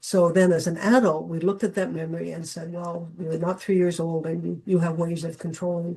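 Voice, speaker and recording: A dark, mellow, somewhat breathy voice at a fairly quick pace, with a Canadian accent. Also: woman. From Canada. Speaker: dowsing teacher. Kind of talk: online talk.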